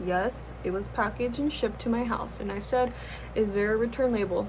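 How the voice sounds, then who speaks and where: A woman with an American accent and audible room echo. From US West Coast, Los Angeles. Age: 20s. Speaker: YouTuber, art student. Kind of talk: casual chat while doing makeup. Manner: casual, rambling with fillers.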